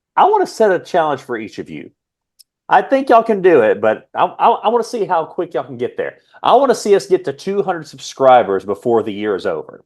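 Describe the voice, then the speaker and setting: With an American accent, a man talks very fast, his loudness swinging widely. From United States. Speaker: wrestling podcast co-host. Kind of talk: casual chat.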